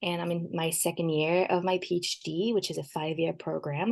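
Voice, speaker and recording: A slight French accent comes through at a moderate pace against a quiet background. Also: woman. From France. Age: 20s. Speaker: PhD student. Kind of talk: podcast interview.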